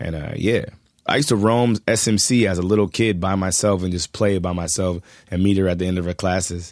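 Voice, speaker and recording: On a very clean recording with a silent background, a man speaks in a very deep, low pitch with fairly even intonation. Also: fairly quick pace. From Los Angeles, Culver City. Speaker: rapper. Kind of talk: casual chat. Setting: studio.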